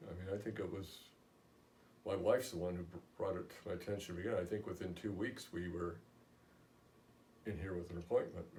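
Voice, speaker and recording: The speaker is somewhat breathy and talks at a fairly quick pace with fairly even intonation and long, frequent pauses. Audible room echo is present. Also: man, very deep, low pitch for a man. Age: 60s. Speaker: patient. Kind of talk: testimony. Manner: halting.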